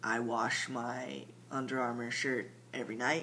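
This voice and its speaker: Bright and sharp in tone, a man talks at a medium pitch with fairly even intonation. He speaks very slowly, with audible room echo. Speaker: transgender vlogger giving transition update. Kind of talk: casual video diary. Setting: at home late at night. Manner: halting, many fillers.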